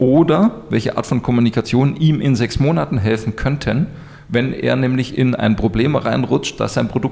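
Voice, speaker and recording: Lively intonation runs through a normal speaking voice kept at a moderate pace. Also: man. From Munich, Bavaria. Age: 40s. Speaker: business coach. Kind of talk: interview. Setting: in person, Munich.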